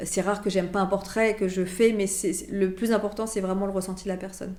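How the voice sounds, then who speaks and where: The speech comes very fast in a flat monotone. Noticeable background noise and audible room echo fill the recording. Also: woman. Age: 40s. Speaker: portrait photographer. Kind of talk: interview. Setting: photo studio.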